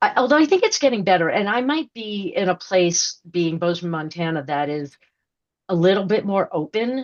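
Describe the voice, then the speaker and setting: This woman has a plain, everyday voice with an American accent, medium pitch, lively intonation and a moderate pace. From New York. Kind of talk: podcast interview. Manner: rambling, many fillers and restarts.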